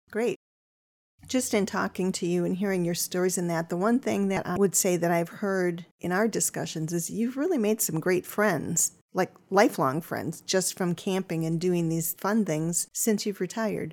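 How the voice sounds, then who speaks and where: In a plain, everyday voice, a woman of medium pitch speaks at a moderate pace with ordinary pitch variation. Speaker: podcast host. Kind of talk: casual interview.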